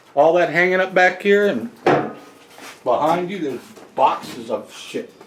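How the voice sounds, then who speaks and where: With lively intonation, a man speaks at a high pitch over noticeable background noise. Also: moderate pace. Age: 70s. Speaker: motorcycle restorer and collector. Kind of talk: casual chat.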